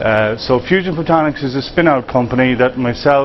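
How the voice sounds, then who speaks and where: A man with an Irish accent speaks at a medium pitch. Noticeable background noise runs under his voice. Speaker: tech company founder. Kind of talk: conference pitch presentation.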